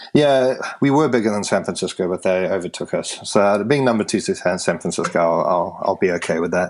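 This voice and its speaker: With a strong British accent and lively intonation, a man speaks fairly quickly at a fairly low pitch amid noticeable background noise. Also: hardly any pauses. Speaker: tech meetup organiser. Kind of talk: podcast interview. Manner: halting with repetitions.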